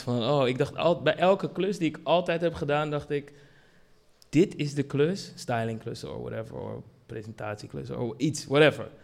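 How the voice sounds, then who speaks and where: Vocal fry colors this man's fairly high pitch as he speaks at a moderate pace with ordinary pitch variation. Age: 40s. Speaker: brand director. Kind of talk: panel discussion. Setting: stage with audience.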